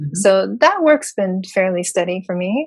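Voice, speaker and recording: A woman with a normal speaking voice talks at a moderate pace and medium pitch with ordinary pitch variation, against a quiet background. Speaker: voice-over announcer and singer-songwriter. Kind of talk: interview answer. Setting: home studio.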